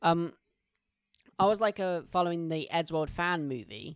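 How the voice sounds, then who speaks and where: A speaker with an English accent is heard in a very clean recording with a silent background. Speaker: podcast co-host. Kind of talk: casual chat.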